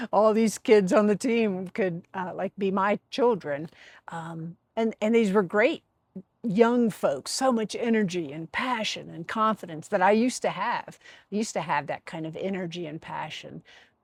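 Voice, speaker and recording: A woman with a plain, everyday voice speaks at a moderate pace and a medium pitch with ordinary pitch variation and big swings in loudness, in a dry, close sound with no echo. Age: 60s. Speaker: life design vlogger. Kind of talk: personal vlog monologue. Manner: conversational, with many fillers and repetitions.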